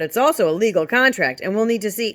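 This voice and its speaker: A put-on character voice sounds female and sits fairly high in pitch. It races along at a very fast pace. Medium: read story. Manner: calm, dignified.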